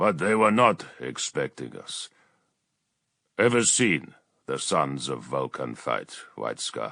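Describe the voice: A man does a rumbling, put-on character voice at a fairly slow pace, with long, frequent pauses.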